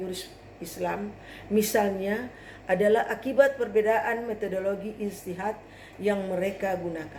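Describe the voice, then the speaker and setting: At a moderate pace, a woman with a fairly high voice speaks amid audible room echo. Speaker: graduate student presenting a paper. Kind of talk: academic presentation. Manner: formal.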